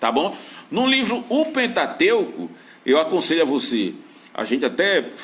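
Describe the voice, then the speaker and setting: Audible room echo surrounds a man who talks at a fairly slow pace with long, frequent pauses. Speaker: Bible teacher. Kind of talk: lecture.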